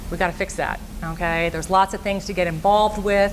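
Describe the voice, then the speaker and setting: At a fairly quick pace, a woman with a medium pitch and fairly even intonation speaks over noticeable background noise. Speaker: school guidance counselor. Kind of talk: presentation to parents and students. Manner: fast.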